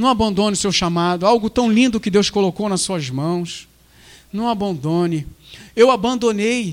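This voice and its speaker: His voice sits high for a man, and he talks at a moderate speed. The rise and fall of his pitch is ordinary. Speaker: submarine diver and preacher. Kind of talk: sermon, preacher in full flow, fervent repetitive exhortation. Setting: church. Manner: emphatic, urgent, rhythmic repetition.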